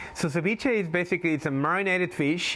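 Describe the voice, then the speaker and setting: A man with a Spanish accent speaks with lively intonation. His pace is moderate. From Galapagos Islands, Ecuador. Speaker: tour guide. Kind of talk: interview.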